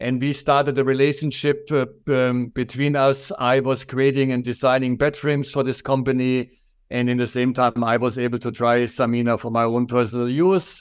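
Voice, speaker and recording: On a very clean recording with a silent background, a man with a strong German accent and medium pitch speaks at a moderate pace in a monotone, flat intonation. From Germany. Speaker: furniture company owner. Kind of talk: interview.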